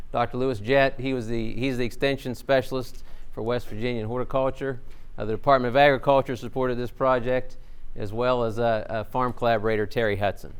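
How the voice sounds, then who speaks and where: Over audible room echo, a man rattles along at a very fast pace in a monotone, flat intonation. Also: medium pitch for a man. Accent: Southern US. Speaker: agricultural researcher. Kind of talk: conference presentation.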